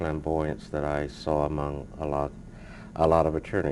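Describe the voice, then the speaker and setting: This man has a very deep, low pitch and an American accent. His intonation is monotone, flat. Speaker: civil rights lawyer. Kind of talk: interview. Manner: soft-spoken; reserved, hesitant with many uh's.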